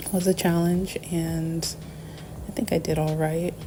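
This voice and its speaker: Fairly low-pitched, monotone speech from a woman at a fairly slow pace, over noticeable background noise. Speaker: artist reviewing art supplies. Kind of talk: casual talk to camera. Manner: hesitant, many filler words.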